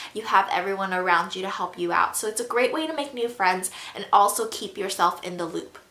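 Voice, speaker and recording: Speaking at a fairly quick pace, a woman with a medium pitch uses ordinary pitch variation and big swings in loudness, with noticeable background noise behind her. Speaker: YouTuber and college student. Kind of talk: casual Q&A vlog. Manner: casual, filler-heavy with um.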